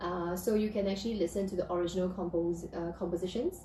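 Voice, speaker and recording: Speech moves along fairly quickly. There is a somewhat breathy quality to it. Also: woman. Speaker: piano teacher. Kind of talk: live stream talk. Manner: halting.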